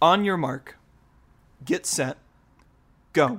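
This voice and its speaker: Here a man speaks with an American accent. The recording is very clean, with a silent background. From Utah. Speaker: quiz show host. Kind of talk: game show hosting.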